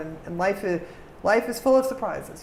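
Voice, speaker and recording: A woman speaks at a very fast pace. Noticeable background noise and audible room echo surround her voice. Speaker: diplomat. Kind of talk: interview.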